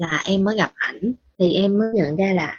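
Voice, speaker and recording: The woman's voice, somewhat breathy, sits at a medium pitch. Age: 20s. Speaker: listener sharing personal story. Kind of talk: personal testimony.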